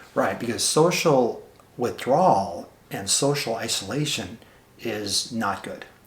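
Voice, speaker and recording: A man speaks at a fairly slow pace in a medium pitch, his intonation lively. Background noise is noticeable. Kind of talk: interviewer questions.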